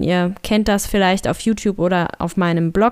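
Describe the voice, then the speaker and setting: With fairly even intonation, a woman talks at a medium pitch in an unremarkable speaking voice. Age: 30s. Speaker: podcaster and blogger. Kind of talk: solo podcast monologue.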